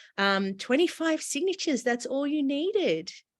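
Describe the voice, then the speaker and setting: A woman talks at a medium tempo. The recording is very clean, and the background is totally silent. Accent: Australian. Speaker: interviewer, nonprofit CEO. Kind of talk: interview.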